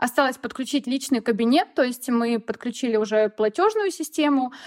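A woman's high-pitched voice with lively intonation at a moderate pace, dry and close with no echo, in a very clean recording with a silent background. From Russia, Voronezh region. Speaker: sewing blogger. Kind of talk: casual chat.

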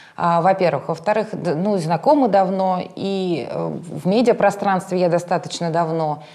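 A woman speaks at a fairly slow pace in a medium pitch, with hardly any pauses and noticeable background noise. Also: ordinary pitch variation. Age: 30s. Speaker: instagram blogger and journalist. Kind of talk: casual chat.

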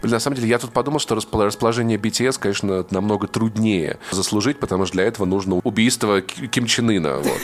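Over noticeable background noise, a man with a fairly low voice talks at a very fast pace, with ordinary pitch variation and hardly any pauses. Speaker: podcaster. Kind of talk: casual chat.

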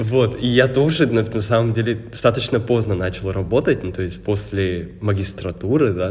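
Somewhat breathy, a man talks in a fairly low pitch amid audible room echo. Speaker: podcast co-host. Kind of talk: casual chat.

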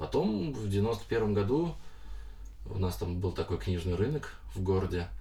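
With long, frequent pauses and audible room echo, a man speaks at a moderate pace in a fairly low pitch, his tone dark and mellow, somewhat breathy, with ordinary pitch variation. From Moscow region, Russia (Lyubertsy). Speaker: comics artist. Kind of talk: interview. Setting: studio.

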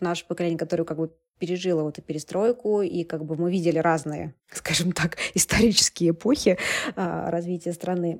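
On a very clean recording with a silent background, a woman speaks at a moderate pace and fairly low pitch in an ordinary speaking voice. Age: 30s. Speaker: media publisher and entrepreneur. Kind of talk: casual interview chat.

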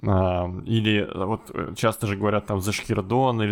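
A fairly low-pitched man at a very slow pace. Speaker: podcast host. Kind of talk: casual chat.

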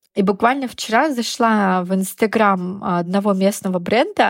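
A woman talks at a fairly slow pace in an ordinary speaking voice, medium in pitch with ordinary pitch variation. The recording is very clean, with a silent background. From Russia, Yamal. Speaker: fashion PR specialist. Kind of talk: casual interview.

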